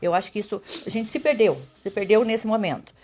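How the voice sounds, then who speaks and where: A woman speaks at a fairly quick pace with a fairly high pitch. Music plays in the background. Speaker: mayoral candidate, nurse. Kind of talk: radio interview. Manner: fast.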